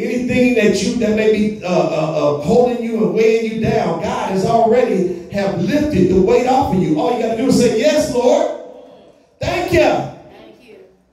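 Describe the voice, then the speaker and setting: An extremely high-pitched male voice with ordinary pitch variation, a moderate pace and strong room echo. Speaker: pastor. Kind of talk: sermon. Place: church.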